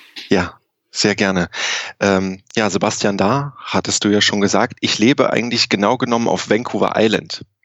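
A man's fairly low voice with fairly even intonation and very even loudness, an unremarkable speaking voice at a moderate pace. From Germany, grew up in Saarland. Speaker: physician and tech company co-founder. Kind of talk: interview. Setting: remote call from Canada.

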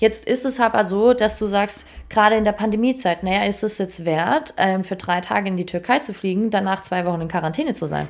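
An unremarkable speaking voice from a woman, medium in pitch with ordinary pitch variation, at a fairly quick pace on a very clean recording with a silent background. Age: 20s. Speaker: performance coach. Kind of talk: casual interview. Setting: in person in an office.

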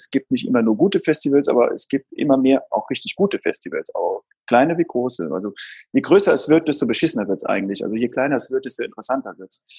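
A man talks at a very fast pace, and the sound is dry and close with no echo. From Saarland, Germany. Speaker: booking agent. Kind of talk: interview. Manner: hesitant, many fillers.

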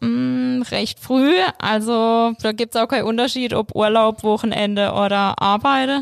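With lively intonation and very even loudness, a woman's unremarkable speaking voice, fairly high in pitch, moves at a fairly slow pace. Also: dry, close sound with no echo. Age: 20s. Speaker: bank advisor. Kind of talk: casual interview.

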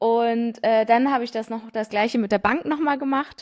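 On a very clean recording with a silent background, a woman with a plain, everyday voice talks at a moderate pace with ordinary pitch variation. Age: 20s. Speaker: young family business successor. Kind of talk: interview.

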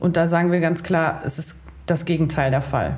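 With audible room echo around her, a woman speaks at a fairly low pitch. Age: 30s. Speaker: chamber of commerce training advisor. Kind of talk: casual chat.

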